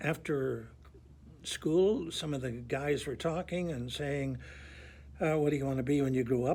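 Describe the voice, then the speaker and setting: This man talks at a moderate pace in a fairly high, somewhat breathy voice. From Northern Ireland, Belfast. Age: 80s+. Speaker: priest. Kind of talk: testimony.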